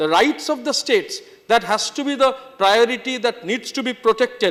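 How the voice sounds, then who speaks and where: With a Bengali accent, a man talks at a moderate pace in an extremely high pitch. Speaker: member of parliament. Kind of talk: parliamentary speech. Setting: parliament chamber. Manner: formal.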